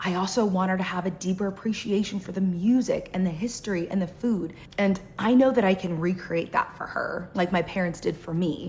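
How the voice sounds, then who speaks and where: Here a woman has an unremarkable speaking voice at a medium pitch. Her intonation is fairly even. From United States, Cuban-American family. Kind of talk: casual talk to camera.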